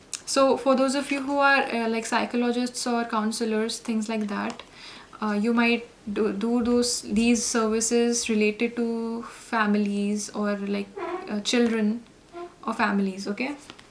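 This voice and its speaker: Fairly high-pitched female voice, monotone and flat, at a fairly slow pace over noticeable background noise. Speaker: tarot reader. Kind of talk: tarot reading. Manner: halting, many fillers.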